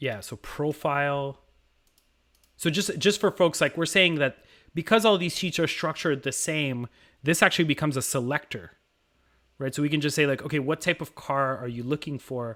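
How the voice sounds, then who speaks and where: In a French Canadian accent, a man with a fairly high pitch and bright, sharp tone speaks at a moderate pace with ordinary pitch variation. Long, frequent pauses break up his speech on a very clean recording with a silent background. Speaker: automation educator, stream host. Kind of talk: live-stream tutorial.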